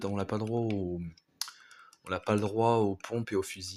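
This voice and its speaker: A man at a moderate pace with fairly low pitch. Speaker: gaming streamer. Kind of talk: live gameplay commentary.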